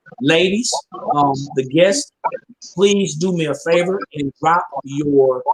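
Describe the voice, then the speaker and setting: A man's voice, fairly high in pitch, with ordinary pitch variation. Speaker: business networking show host. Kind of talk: live stream talk show. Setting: at home, live video stream. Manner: energetic.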